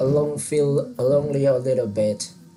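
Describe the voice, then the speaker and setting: A man's medium-pitched voice with a Vietnamese accent at a very slow pace, with music in the background. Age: 20s. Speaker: English learner. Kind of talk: online English lesson. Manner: halting.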